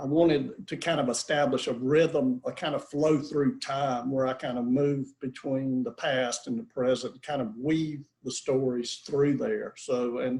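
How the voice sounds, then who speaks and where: With a strong Southern US accent, a man of fairly high pitch speaks at a fairly slow pace with hardly any pauses and ordinary pitch variation. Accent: southern US accent, kept strong. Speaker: author. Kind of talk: author Q&A interview. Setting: video call. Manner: halting, many repetitions and fillers.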